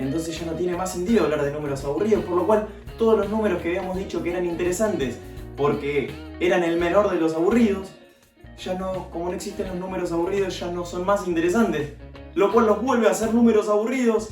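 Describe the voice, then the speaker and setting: With music in the background and audible room echo, a man talks at a very fast pace in a high pitch with ordinary pitch variation. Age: 20s. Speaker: math teacher. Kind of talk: educational video explanation.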